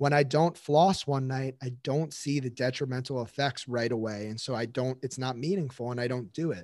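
A man speaks in a plain, everyday voice at medium pitch with ordinary variation. His pace is moderate, with hardly any pauses. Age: 20s. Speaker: physical therapist. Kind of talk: interview testimony.

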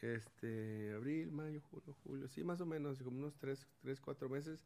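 Speaking at a fairly slow pace, a man uses a normal speaking voice with ordinary pitch variation. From Mexico, Sinaloa (Los Mochis), raised from 14 in Monterrey. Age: 40s. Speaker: former professional footballer and sports academy owner. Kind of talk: testimony-style interview.

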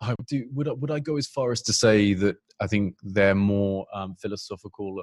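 Dry and close with no echo, a man's fairly low voice moves at a moderate pace with ordinary pitch variation. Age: 30s. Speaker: recruitment company CEO. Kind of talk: interview. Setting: video call. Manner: halting, many fillers.

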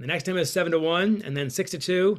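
A man speaking at a very fast pace. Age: 50s. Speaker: author and hockey coach. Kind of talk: interview.

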